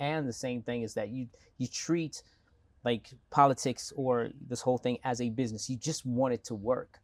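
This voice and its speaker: A man with an American accent, medium pitch and a fairly quick pace, in a dry, close sound with no echo. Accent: American-sounding, South Africanized. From South Africa, Bophuthatswana. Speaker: entrepreneur and mayoral candidate. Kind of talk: interview.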